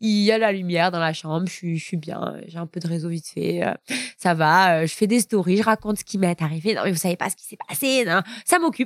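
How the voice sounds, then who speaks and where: An animated, fairly quick delivery with ordinary pitch variation, recorded in a dry, close sound with no echo. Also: woman, fairly low pitch for a woman. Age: 20s. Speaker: young mother, social media coordinator. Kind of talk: personal testimony.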